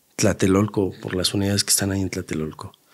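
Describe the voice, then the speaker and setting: A man speaks in a Mexico City accent with monotone, flat intonation. The background is quiet. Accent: Mexico City Spanish (chilango). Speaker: taxi driver; guest. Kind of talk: casual storytelling. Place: studio. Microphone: studio mic.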